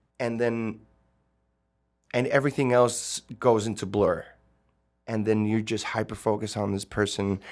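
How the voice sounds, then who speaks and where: A man with a Spanish accent at a fairly slow pace, monotone and flat, with long, frequent pauses, on a very clean recording against a silent background. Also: medium pitch for a man. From Tijuana, Mexico / San Diego border region. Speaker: singer-songwriter. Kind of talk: interview chat. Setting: studio.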